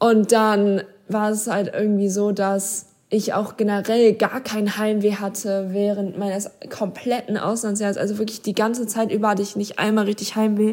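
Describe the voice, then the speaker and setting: A woman's medium-pitched voice at a moderate pace, flat and monotone in intonation. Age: young. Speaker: former exchange student. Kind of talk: personal storytelling. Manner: casual, filler-heavy.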